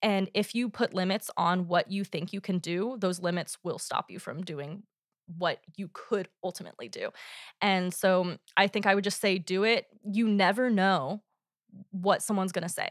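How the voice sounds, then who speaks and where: On a very clean recording with a silent background and a dry, close sound with no echo, a woman with an unremarkable speaking voice and an American accent speaks at a moderate pace, medium pitch and fairly even intonation. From Oklahoma, US. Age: 20s. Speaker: graduate student. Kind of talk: interview. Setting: studio.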